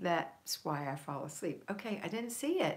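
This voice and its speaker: Speaking with an American accent, a woman uses vocal fry and very wide pitch swings. Her pace is moderate. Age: 60s. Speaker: homemaking coach and live streamer. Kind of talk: live stream chat reading viewer comments. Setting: live stream.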